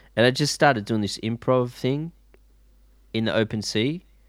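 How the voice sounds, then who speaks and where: A man with an Australian accent, moderate pace and ordinary pitch variation. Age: 40s. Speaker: guitarist and DJ. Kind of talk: casual chat. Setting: video call.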